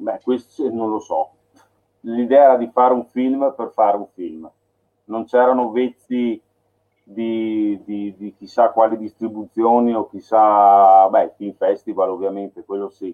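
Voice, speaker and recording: A man speaks fairly slowly at a medium pitch in a plain, everyday voice, with fairly even intonation but big swings in loudness. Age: 40s. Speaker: filmmaker. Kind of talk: casual chat.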